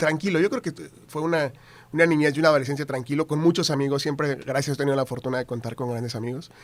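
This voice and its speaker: Very fast speech with fairly even intonation, in a very clean recording over a silent background. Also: man, fairly high pitch for a man. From northern Mexico, Tamaulipas. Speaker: TV news anchor. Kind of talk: casual interview chat.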